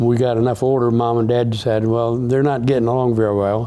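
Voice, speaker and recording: A man rattles along at a very fast pace with monotone, flat intonation amid audible room echo. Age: 80s+. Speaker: interviewee's brother. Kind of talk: interview reminiscence. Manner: halting.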